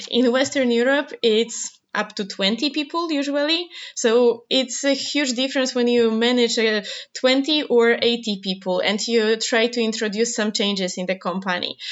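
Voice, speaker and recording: A woman with a Polish accent, fairly high-pitched, at a fairly slow pace. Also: ordinary pitch variation. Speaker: researcher. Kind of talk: interview.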